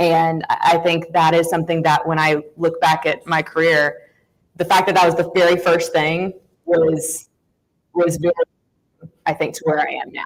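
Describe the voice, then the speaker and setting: In a strong Southern US accent, a woman speaks at a moderate pace and fairly low pitch, flat and monotone, with long, frequent pauses. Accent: thick Southern. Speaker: sports reporter. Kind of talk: panel discussion.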